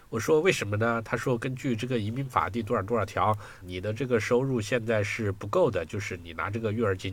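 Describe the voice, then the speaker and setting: A man's somewhat breathy voice at medium pitch, fairly quick, with ordinary pitch variation. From China. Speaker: software engineer and technical translator. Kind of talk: casual interview chat. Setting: video call.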